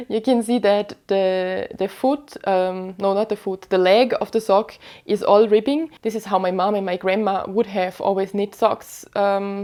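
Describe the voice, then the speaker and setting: A woman talks at a fairly slow pace with hardly any pauses. Her medium-pitched voice has a dark, mellow tone and fairly even intonation. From western Austria, Vorarlberg. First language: German (Vorarlberg dialect). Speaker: knitting podcaster. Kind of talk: casual chat. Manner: hesitant, many fillers.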